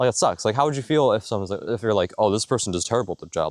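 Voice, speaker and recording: The sound is dry and close with no echo. A man speaks at a medium pitch with lively intonation. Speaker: vlogger. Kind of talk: testimony. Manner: fast; rambling, halting with fillers.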